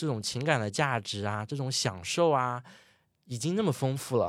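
The recording is very clean, with a silent background. A man with an unremarkable speaking voice talks at a moderate pace, medium pitch and lively intonation. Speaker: ski instructor. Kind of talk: casual interview chat. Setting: studio, in person.

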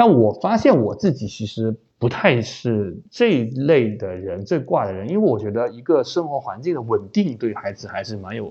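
With a Chaozhou accent, a man talks at a moderate pace and medium pitch in a dark, mellow tone, with lively intonation, big swings in loudness, and hardly any pauses. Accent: Chaozhou-accented Mandarin. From Chaozhou, Guangdong. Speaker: media founder and podcaster. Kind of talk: casual interview conversation. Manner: hesitant with frequent fillers.

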